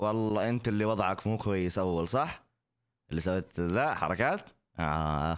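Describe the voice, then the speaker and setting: A man's very deep, low voice at very even loudness. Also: ordinary pitch variation, moderate pace. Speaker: content creator reacting to TikTok videos. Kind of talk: casual reaction video. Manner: animated. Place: home room. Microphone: studio mic.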